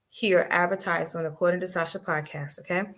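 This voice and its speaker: Ordinary pitch variation in a plain, everyday voice. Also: woman. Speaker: podcast host. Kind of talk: podcast intro and announcements. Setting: live stream studio. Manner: casual, chatty.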